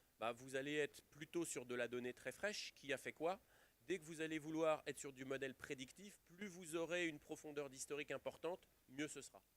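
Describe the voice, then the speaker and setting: A man talks at a fairly quick pace with a fairly high pitch and ordinary pitch variation. The sound is dry and close, with no echo. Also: big swings in loudness. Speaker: IT industry executive speaking at a conference. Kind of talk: conference talk. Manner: loud.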